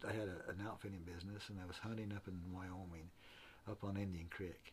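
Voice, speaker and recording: With an American accent, a man talks at a fairly quick pace in a fairly low pitch, sounding somewhat breathy. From central Utah. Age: 70s. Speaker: retired mule and horse outfitter. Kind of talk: casual interview. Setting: workshop.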